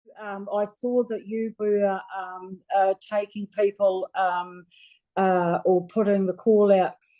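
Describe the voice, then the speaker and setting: A woman's medium-pitched voice at a fairly slow pace, dry and close with no echo, over a quiet background. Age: 60s. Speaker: patient giving testimonial. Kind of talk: testimony. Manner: halting, many fillers.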